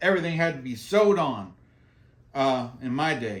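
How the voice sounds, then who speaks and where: With an American accent, a man speaks at a moderate pace with lively intonation. Audible room echo is present. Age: 60s. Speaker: skating vlogger, military veteran. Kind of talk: casual tutorial. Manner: casual, repetitive with fillers.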